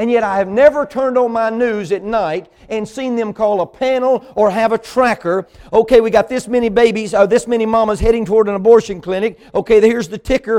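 With an American accent, the speech keeps fairly even intonation. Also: man, high pitch for a man. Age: 40s. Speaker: preacher. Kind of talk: sermon.

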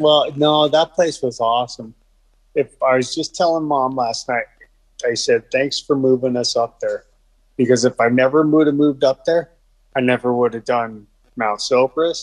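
Here a man talks in an ordinary speaking voice at a moderate pace. His pitch is medium and his intonation fairly even. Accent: American. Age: 40s. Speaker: person living with multiple sclerosis. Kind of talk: casual chat.

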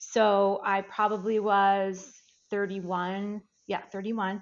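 A woman with an American accent talks in a monotone, flat intonation. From US Midwest. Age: 50s. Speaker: life reinvention coach. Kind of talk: interview.

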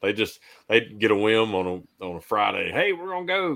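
A man with a Southern US accent talks at a moderate pace with lively intonation and a bright, sharp tone. The recording is very clean, with a silent background. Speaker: disaster work manager. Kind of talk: casual chat.

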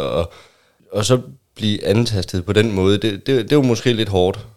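On a very clean recording with a silent background, the speaker's pitch varies in an ordinary way. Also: man. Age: 30s. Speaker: newcomer to open relationships. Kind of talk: casual chat. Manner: halting.

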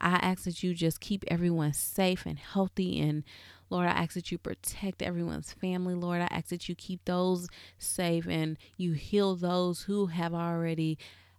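At a fairly slow pace, a woman with fairly low pitch speaks in a monotone, flat intonation on a very clean recording with a silent background. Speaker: podcast host. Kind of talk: fervent closing prayer, led aloud to listeners. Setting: home closet studio. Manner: earnest, reverent, warm, with repeated 'Lord' cadence.

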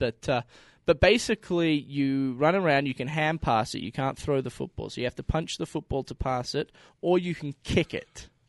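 A man with an Australian accent at a fairly quick pace, ordinary pitch variation, a dry, close sound with no echo and a quiet background. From Victoria, Australia. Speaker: former college football punter. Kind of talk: casual chat.

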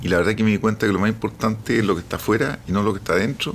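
This is a man talking. His pitch sits fairly low. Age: 50s. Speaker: business founder. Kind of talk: interview.

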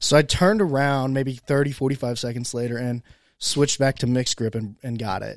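A man speaks at a fairly quick pace with an American accent, his pitch medium and its variation ordinary. The recording is very clean, with a silent background. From Indiana, US Midwest. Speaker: podcast host. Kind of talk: casual chat. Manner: loud.

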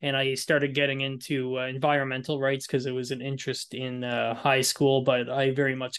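Speaking at a fairly quick pace, a man keeps a medium pitch in a monotone, flat intonation. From New Brunswick, Canada (Moncton). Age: 30s. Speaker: university student and nonprofit founder. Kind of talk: interview. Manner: hesitant, many fillers.

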